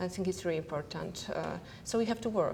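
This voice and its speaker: A woman with a non-native accent at a moderate pace, amid noticeable background noise. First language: not English. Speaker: entrepreneur. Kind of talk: panel discussion. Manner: halting.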